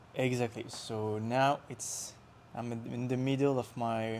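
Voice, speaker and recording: In a French accent, a man speaks at a medium pitch with monotone, flat intonation. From France, Lyon. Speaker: traveler on a working holiday. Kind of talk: casual chat. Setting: interview in Osaka. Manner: halting.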